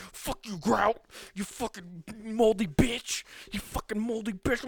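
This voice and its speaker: Using a put-on character voice, a man speaks high in pitch with ordinary pitch variation at a fairly slow pace. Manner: yelling, furious.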